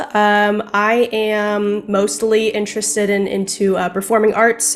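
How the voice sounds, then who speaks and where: Against noticeable background noise, a woman talks with monotone, flat intonation. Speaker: game player. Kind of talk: casual chat.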